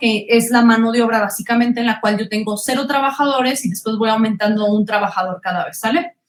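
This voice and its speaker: A woman with a Mexican accent speaks at a fairly high pitch with ordinary pitch variation. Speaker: economics teacher. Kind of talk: online class lecture. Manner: fast.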